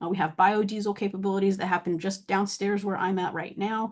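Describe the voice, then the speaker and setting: Over a quiet background, a woman talks with a monotone, flat intonation. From US South, Atlanta. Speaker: university researcher. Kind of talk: webinar presentation. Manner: fast.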